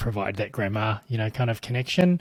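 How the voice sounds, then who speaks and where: In a New Zealand accent, a man speaks at a fairly low pitch, somewhat breathy, with a dry, close sound and no echo. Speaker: tech company CEO. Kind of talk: interview answer.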